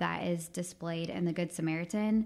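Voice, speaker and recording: On a very clean recording with a silent background, a woman speaks at a fairly low pitch and a fairly quick pace. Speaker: youth worker. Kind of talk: panel discussion.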